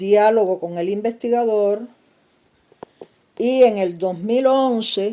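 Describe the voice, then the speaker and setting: Very slowly, a woman talks at a fairly high pitch with ordinary pitch variation. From Cuba, Pinar del Río. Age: 60s. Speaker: novelist. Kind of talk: casual video monologue. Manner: halting, many fillers.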